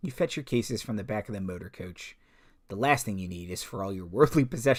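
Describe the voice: The text is given a plain reading aloud, delivered with lively intonation.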